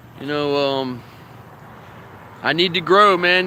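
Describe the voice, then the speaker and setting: A man's raised, projected voice with ordinary pitch variation against noticeable background noise. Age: 50s. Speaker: vlogger and professional wrestler. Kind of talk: casual vlog monologue. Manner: fast, talks without pausing for breath.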